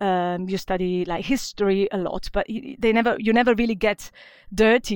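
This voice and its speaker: A woman speaks at a moderate pace in a medium pitch, on a very clean recording with a silent background. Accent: Italian. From Venice, Italy. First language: Italian. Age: young. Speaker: glass designer. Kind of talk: interview.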